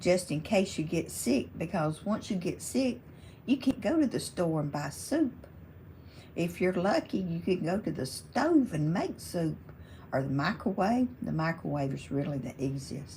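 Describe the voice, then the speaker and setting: In a Southern US accent, a woman speaks fairly low and fairly slowly, her dark, mellow tone relaxed, with lively intonation and vocal fry. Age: 70s. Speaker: crafting YouTuber. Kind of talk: casual chat.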